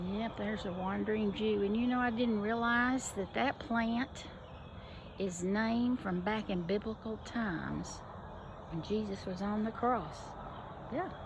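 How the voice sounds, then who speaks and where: A woman with an American accent talks at a fairly slow pace with long, frequent pauses. Her pitch is fairly high and her intonation fairly even, with audible room echo. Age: 70s. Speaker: gardening vlogger. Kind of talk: casual walkthrough vlog. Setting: outdoors in garden. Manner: halting, with pauses.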